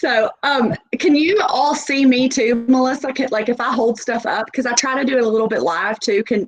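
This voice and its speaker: A high-pitched woman speaks with a strong Southern US accent. Her pace is moderate, with ordinary pitch variation and hardly any pauses. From US South, Nashville. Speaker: sales representative. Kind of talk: sales presentation. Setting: video call.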